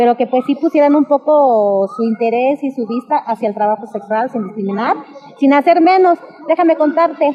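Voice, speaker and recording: Over noticeable background noise, a woman speaks at a high pitch and a fairly quick pace. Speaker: sex worker interviewee. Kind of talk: street interview testimony. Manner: animated.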